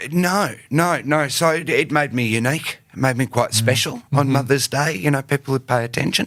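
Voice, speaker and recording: A man with an Australian accent, his loudness very even. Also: fairly high pitch for a man, ordinary pitch variation, moderate pace, hardly any pauses. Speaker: actor and writer. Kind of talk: podcast interview answer. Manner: casual, halting.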